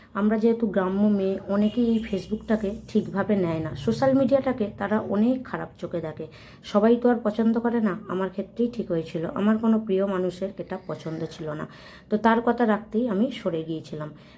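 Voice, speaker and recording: Noticeable background noise sits behind the voice. A woman speaks at a medium pitch with ordinary pitch variation. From West Bengal, Hooghly district village. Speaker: vlogger. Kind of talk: personal vlog monologue.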